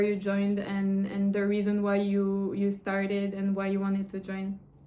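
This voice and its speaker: With a non-native accent, a woman speaks at a fairly slow pace in a medium pitch. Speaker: online course coach. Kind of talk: interview.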